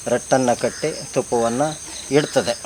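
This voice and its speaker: A man's medium-pitched voice comes through with noticeable background noise around it. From Karnataka, Sagar taluk (Malnad region). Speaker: art teacher and hobby beekeeper. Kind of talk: explanatory demonstration. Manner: halting, with frequent pauses.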